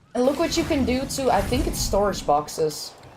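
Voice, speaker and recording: A woman speaks with a high pitch and very wide swings in it. Audible room echo and noticeable background noise surround her voice. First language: Dutch. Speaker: game streamer. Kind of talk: live gaming stream chat. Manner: casual, halting.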